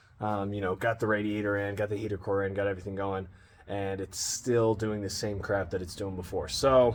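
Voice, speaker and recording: This man has a fairly low pitch and talks at a fairly quick pace. It is an ordinary speaking voice. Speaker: car repair vlogger. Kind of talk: casual vlog. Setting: outdoors, driveway. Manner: casual, filler-heavy.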